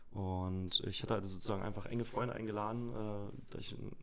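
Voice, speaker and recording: The voice keeps a fairly even intonation, with audible room echo around it. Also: man. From Saxony-Anhalt, eastern Germany (Magdeburg area). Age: 30s. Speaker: party organizer and entrepreneur. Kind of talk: podcast interview. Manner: halting, many filler sounds.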